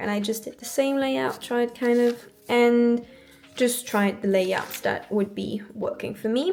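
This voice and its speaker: Music plays in the background as a woman with a French accent speaks at a fairly high pitch. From France. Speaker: planner YouTuber, university student. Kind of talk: casual show-and-tell vlog. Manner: hesitant, many fillers.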